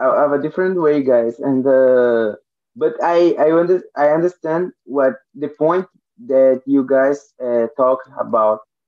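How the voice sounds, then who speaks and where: With a Portuguese accent, a man talks at a very slow pace with ordinary pitch variation. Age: 20s. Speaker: language learner. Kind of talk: casual chat. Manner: halting.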